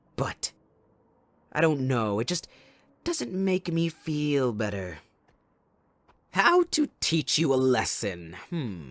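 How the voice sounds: A man's put-on character voice, fairly bright in tone, with very wide pitch swings, a slow pace and long, frequent pauses. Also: medium pitch for a man.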